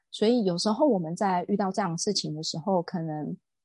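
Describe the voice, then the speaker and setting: Against a quiet background, a woman with a somewhat breathy, medium-pitched voice and lively intonation talks at a moderate pace in a dry, close sound with no echo. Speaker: real estate agent and lecturer. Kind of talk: interview.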